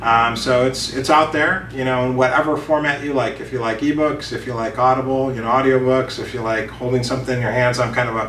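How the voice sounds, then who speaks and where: A man with a medium-pitched voice speaks very fast in a monotone, flat intonation, barely pausing, with audible room echo and noticeable background noise. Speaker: business author and consultant. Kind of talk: interview. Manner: casual with many fillers.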